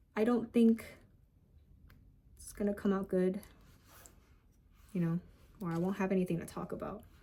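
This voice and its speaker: Somewhat breathy and dark, mellow in tone, a woman's medium-pitched voice moves at a moderate pace with fairly even intonation, big swings in loudness and long, frequent pauses. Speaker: pet keeper vlogger. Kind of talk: casual vlog chat. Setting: home. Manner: halting, long pauses.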